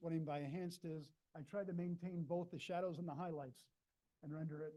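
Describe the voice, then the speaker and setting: At a very fast pace, a man talks in a fairly high pitch with a dark, mellow tone and fairly even intonation. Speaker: imaging engineer, seminar speaker. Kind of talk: lecture.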